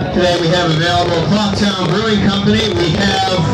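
Music plays in the background. Room echo is audible. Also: man. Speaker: train crew narrator. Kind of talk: onboard announcement and commentary. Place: train.

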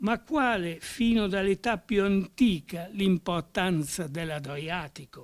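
Over a quiet background, a man talks at a very slow pace in a high pitch. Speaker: professor. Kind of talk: lecture. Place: classroom. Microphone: podium.

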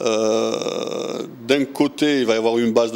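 A man talks with ordinary pitch variation. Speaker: cycling project organizer. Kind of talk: interview. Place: shop. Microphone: handheld.

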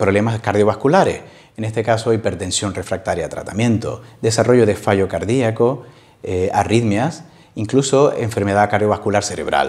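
At a moderate pace, the man talks with ordinary pitch variation. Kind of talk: interview answer. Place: office. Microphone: lapel.

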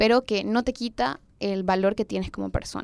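In a dry recording with no echo, a woman of medium pitch speaks at a moderate pace. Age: young. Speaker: youth activist; podcast guest or co-host. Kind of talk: personal testimony in panel chat. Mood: earnest, personal, serious. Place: home room. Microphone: handheld.

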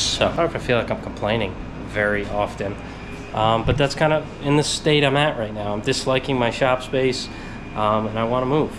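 Over music in the background, a man talks at a moderate pace with ordinary pitch variation. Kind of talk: casual vlog chat. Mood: mildly frustrated, reflective. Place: garage. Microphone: phone near.

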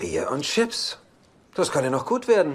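A man puts on a character voice with a fairly high pitch, very wide pitch swings, a slightly husky edge, and a fairly slow pace.

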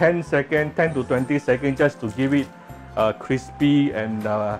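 Fairly slow speech with faint music in the background. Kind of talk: cooking tutorial. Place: kitchen. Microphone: phone near.

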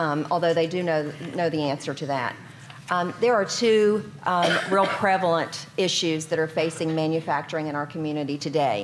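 A woman's very deep, low voice at a moderate pace, with ordinary pitch variation and noticeable background noise. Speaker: health organization executive; panelist. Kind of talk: panel discussion. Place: hall. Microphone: podium.

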